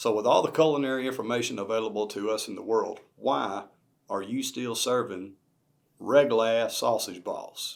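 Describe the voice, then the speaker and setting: Speaking with a Southern US accent, a man keeps a medium pitch, ordinary pitch variation and a moderate pace. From US Southeast. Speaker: cooking channel host. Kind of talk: cooking tutorial narration. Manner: casual.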